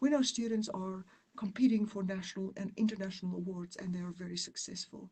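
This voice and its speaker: A woman with a South African accent speaks at a medium pitch. Her voice is somewhat breathy, with fairly even intonation. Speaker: university dean. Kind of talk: presentation. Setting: online webinar.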